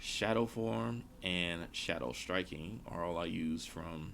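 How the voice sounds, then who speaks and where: Room echo is audible as a man talks with a very deep, low pitch and vocal fry. His intonation is lively. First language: not English. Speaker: gaming streamer. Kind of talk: live gameplay stream commentary. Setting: live stream.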